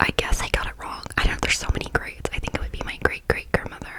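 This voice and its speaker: Someone whispers at a very fast pace against noticeable background noise. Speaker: ASMR creator. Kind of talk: whispered ASMR story time. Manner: whispered.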